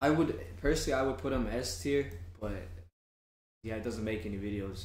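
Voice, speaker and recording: Here is a man with a fairly low pitch. His voice is somewhat breathy. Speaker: streamer and channel host. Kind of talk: casual chat.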